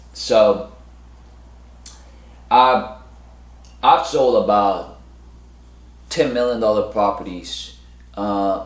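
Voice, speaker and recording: A man at a very slow pace, with audible room echo. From South Korea. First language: Korean. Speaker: real estate broker. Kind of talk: casual monologue to camera. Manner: halting, many fillers and restarts.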